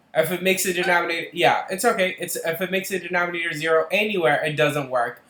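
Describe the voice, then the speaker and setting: A man talking at a very fast pace with hardly any pauses, ordinary pitch variation and noticeable background noise. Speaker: math tutor. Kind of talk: tutoring session. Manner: halting, many fillers.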